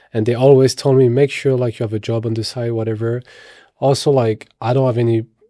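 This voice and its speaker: With a strong French accent, a man speaks at a medium pitch in a dark, mellow tone and flat, monotone intonation. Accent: thick French. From France, Paris. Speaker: actor and model. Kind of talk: podcast interview.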